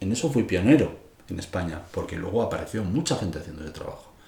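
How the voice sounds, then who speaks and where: A man talks at a very fast pace with very wide pitch swings. Audible room echo is present. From Spain, Madrid. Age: 60s. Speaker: music teacher and composer. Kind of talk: interview.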